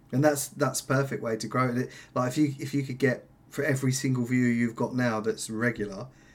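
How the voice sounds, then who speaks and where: With an ordinary speaking voice, this man talks at a fairly quick pace, his medium pitch held in fairly even intonation. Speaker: podcast host. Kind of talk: casual interview chat.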